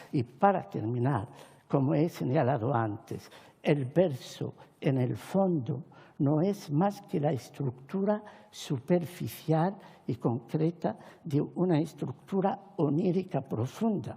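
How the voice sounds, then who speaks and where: Very slowly, a woman speaks in a very deep, low, somewhat breathy voice with a dark, mellow tone and lively intonation. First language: Arabic (speaking Spanish). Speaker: Hispanist academic and poet. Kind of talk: formal speech at a panel. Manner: formal.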